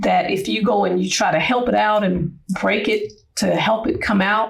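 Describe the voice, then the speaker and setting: A woman at a moderate pace with very even loudness and noticeable background noise. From US Midwest, Cleveland Ohio. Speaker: retired Marine Corps chief warrant officer. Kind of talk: interview.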